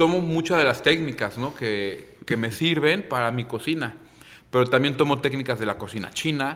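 A man with a normal speaking voice, fairly high in pitch, with ordinary pitch variation. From Manzanillo, Colima, Mexico. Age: 30s. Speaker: chef and restaurant owner. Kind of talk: casual interview.

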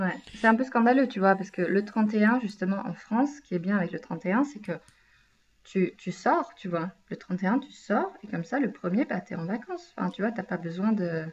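A woman's voice sits at a medium pitch and is somewhat breathy. She moves at a moderate pace with lively intonation. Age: 20s. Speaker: podcast co-host. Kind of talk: casual chat.

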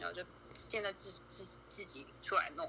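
A woman speaks at a fairly slow pace. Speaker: viewer guest on a livestream. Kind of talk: casual chat.

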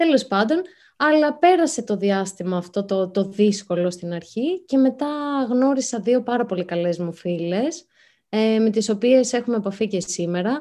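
The woman's fairly high voice has a dark, mellow tone and very wide pitch swings as she speaks at a fairly slow pace. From Greece, Athens. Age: young. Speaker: writer. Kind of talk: interview. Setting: video call.

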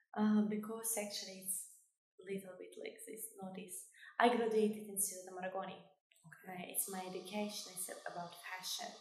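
Amid audible room echo, a woman speaks fairly quickly in a somewhat breathy, medium-pitched voice, monotone and flat in intonation but with big swings in loudness. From Kosovo. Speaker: fashion designer and beauty queen. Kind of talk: interview. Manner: halting.

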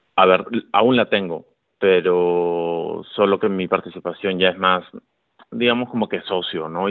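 Here a man speaks at a fairly slow pace. His pitch is very deep and low. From Peru, Lima. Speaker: entrepreneur, advertising agency owner. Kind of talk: casual chat.

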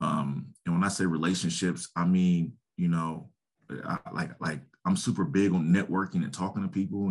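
Speaking at a moderate pace, a man with an American accent and a very deep, low pitch keeps his intonation fairly even. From Columbus, Ohio. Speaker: youth football league director, former pro football player. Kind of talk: casual interview.

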